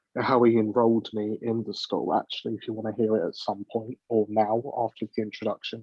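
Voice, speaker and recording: A man with an English accent, medium pitch, fairly quick pace and monotone, flat intonation. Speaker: panel guest. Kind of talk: casual chat.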